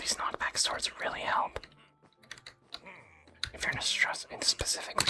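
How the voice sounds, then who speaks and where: Someone whispers in a soothing tone at a moderate pace, with long, frequent pauses and noticeable background noise. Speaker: gaming ASMR creator. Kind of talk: whispered ASMR gaming commentary. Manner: whispered; soft-spoken, soothing.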